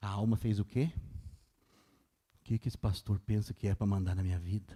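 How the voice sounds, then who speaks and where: A man with a fairly low pitch and a somewhat breathy voice speaks at a fairly quick pace with fairly even intonation, in a dry, close sound with no echo. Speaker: pastor. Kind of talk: sermon. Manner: fast.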